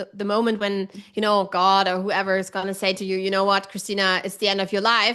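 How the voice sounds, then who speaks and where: Over a quiet background, a woman talks at a fairly quick pace with a medium pitch and a bright, sharp tone. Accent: German. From Germany. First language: German. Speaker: online writing coach. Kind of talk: casual chat. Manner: direct.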